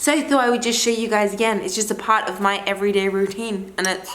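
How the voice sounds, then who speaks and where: Speaking at a fairly quick pace in an animated tone, a woman with a fairly high pitch is heard through audible room echo and noticeable background noise. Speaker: lifestyle vlogger. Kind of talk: casual vlog talk to camera. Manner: fast.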